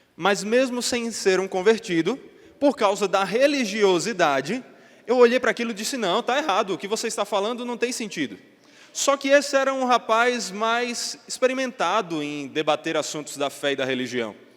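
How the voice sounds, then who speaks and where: A man's high voice carries lively intonation at a moderate pace. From Northeast Brazil (João Pessoa, Paraíba). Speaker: pastor. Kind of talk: sermon.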